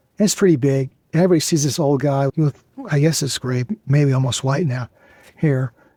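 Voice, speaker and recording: A man's somewhat breathy, dark, mellow voice, fairly high in pitch with ordinary pitch variation, at a fairly quick pace, in a dry, close sound with no echo. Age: 70s. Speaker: cancer survivor and author. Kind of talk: interview.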